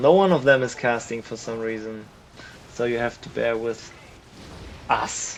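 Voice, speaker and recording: A man with a medium-pitched voice talks as noticeable background noise plays behind him. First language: not English. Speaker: game caster. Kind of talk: live commentary. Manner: animated.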